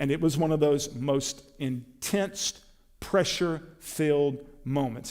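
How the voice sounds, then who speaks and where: With an American accent, a man in an ordinary speaking voice talks at a fairly slow pace and a fairly high pitch. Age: 60s. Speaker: preacher. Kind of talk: sermon.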